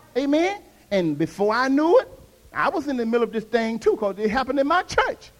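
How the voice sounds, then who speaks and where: Over noticeable background noise, a man speaks very fast in an extremely high pitch, animated in tone and with very wide pitch swings. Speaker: pastor. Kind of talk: sermon. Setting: church with congregation. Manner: animated, call-and-response preaching; emphatic, exhorting the congregation.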